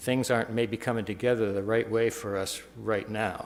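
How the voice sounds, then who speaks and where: The speech moves at a fairly quick pace with monotone, flat intonation. Noticeable background noise runs underneath. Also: man. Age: 70s. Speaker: landowner speaking at city council. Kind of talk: public comment at council meeting. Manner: halting, with fillers.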